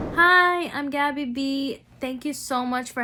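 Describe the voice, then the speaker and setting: The voice has a bright, sharp tone and ordinary pitch variation. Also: woman. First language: not English. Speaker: rally speaker. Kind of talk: testimony. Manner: hesitant with many fillers.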